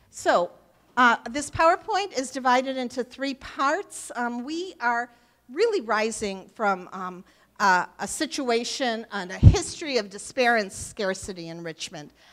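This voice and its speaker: Over a quiet background, a woman talks at a fairly slow pace in a high pitch. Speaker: local politician giving a talk. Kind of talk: public talk with slides. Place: hall.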